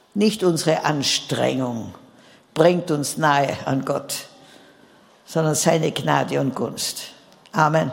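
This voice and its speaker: Amid noticeable background noise and audible room echo, a woman with a very deep, low pitch speaks at a very slow pace, with ordinary pitch variation and long, frequent pauses. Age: 80s. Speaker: preacher. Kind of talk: sermon.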